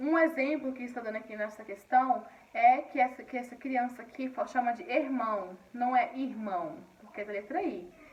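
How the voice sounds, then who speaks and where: Noticeable background noise sits under a voice with lively intonation that moves at a fairly slow pace. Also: woman. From Paraíba, northeastern Brazil. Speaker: schoolteacher. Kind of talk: recorded online lesson. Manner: halting, frequent repetitions and fillers.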